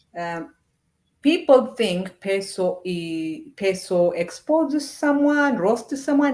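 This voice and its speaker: A woman in an Ethiopian accent, fairly high-pitched, at a very slow pace with very wide pitch swings. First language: Amharic. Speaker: YouTuber, commentator. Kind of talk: casual monologue.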